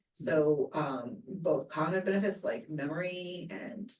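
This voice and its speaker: Here a woman speaks with lively intonation. Her pitch is fairly low. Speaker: neuroscience researcher. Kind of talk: interview. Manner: fast.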